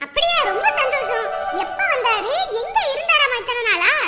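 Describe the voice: A woman's put-on character voice, extremely high-pitched with a bright, sharp tone and lively intonation, over faint music in the background. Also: moderate pace.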